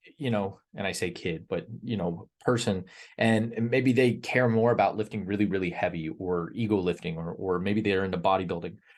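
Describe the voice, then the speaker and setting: A man with a plain, everyday voice speaks at a fairly low pitch and a fairly quick pace, with hardly any pauses. His pitch variation is ordinary, and the background is quiet. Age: 30s. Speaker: fitness coach, membership group leader. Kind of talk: group call talk on fitness. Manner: many fillers and repeated words.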